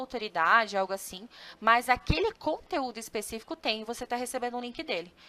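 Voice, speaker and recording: At a moderate pace, a woman with a high-pitched voice speaks with lively intonation. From southern Brazil, Joinville, Santa Catarina. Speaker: customer success analyst and content marketing specialist. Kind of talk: webinar presentation. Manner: casual, with frequent fillers and self-corrections.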